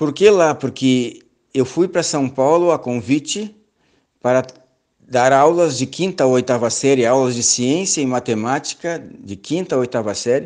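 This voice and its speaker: A man with a normal speaking voice and medium pitch talks fairly slowly, with ordinary pitch variation. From southern Brazil, Rio Grande do Sul (Pelotas). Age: 60s. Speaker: church elder and seminar lecturer. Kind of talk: lecture. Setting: online seminar.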